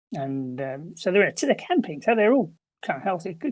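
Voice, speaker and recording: A man is speaking. He has an English accent. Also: very clean recording, silent background. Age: 70s. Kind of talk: interview testimony.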